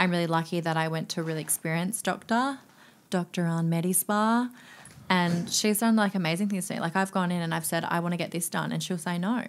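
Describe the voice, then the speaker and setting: On a very clean recording with a silent background, a woman with an Australian accent talks very fast at a fairly low pitch, with ordinary pitch variation. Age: 20s. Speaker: nightclub promoter and DJ. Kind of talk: casual chat.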